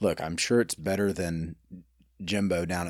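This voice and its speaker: In an Alabama accent, a man speaks with a very deep, low voice. His intonation stays fairly even. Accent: US South (Alabama). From Birmingham, Alabama. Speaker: restaurant owner. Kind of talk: casual interview chat.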